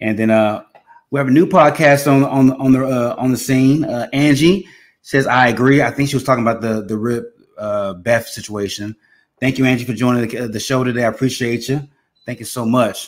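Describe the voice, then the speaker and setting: Speaking with an American accent, a man has an ordinary speaking voice, medium pitch, ordinary pitch variation and a fairly quick pace. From Texas. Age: 30s. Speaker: podcast host. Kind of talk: casual chat.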